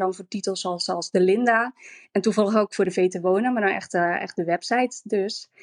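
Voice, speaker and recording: Recorded dry and close with no echo, a woman speaks in a normal speaking voice at medium pitch and a moderate pace with fairly even intonation. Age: 30s. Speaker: former reality TV contestant, interior stylist. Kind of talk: casual interview.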